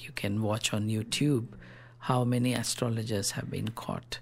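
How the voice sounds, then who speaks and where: A man speaks with a Telugu accent at a moderate pace. His pitch sits in the medium range. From South India. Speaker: rationalist activist. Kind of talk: radio interview.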